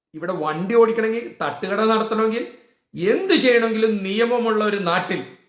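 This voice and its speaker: With ordinary pitch variation, the voice echoes audibly around the room. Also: man, high pitch for a man. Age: 60s. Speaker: political vlogger. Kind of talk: political rant. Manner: animated.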